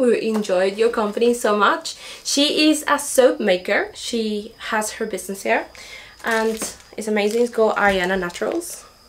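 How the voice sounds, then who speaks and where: A woman at a moderate pace, ordinary pitch variation, over light background noise. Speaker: homesteading vlogger. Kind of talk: casual vlog chat. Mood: cheerful, grateful. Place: home room. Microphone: camera far.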